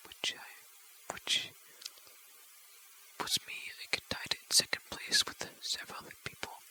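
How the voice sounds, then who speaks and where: Very slow whispering broken by long, frequent pauses, amid noticeable background noise. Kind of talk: ASMR, rambling casual talk. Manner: whispered.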